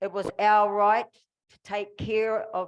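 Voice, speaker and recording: A woman speaks in a New Zealand accent. Her pitch sits in the middle range. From New Zealand, Māori. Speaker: formerly incarcerated activist. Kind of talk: public speech.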